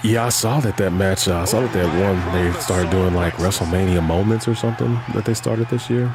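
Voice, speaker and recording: A man whispering in an American accent, fairly quick with hardly any pauses, very even in loudness, over noticeable background noise. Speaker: gaming streamer. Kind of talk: casual chat.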